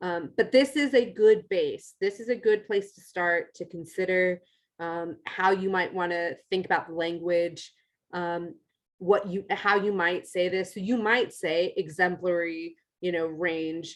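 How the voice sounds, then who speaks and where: This woman has an unremarkable speaking voice, medium in pitch, with an American accent, ordinary pitch variation and a fairly slow pace. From United States. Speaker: university educator, assessment specialist. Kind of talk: workshop lecture. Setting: room with live audience.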